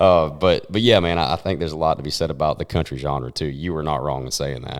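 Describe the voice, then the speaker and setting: A man speaks with a Southern US accent at a fairly quick pace. His pitch is very deep and low. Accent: Southern twang. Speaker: country singer. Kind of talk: casual chat.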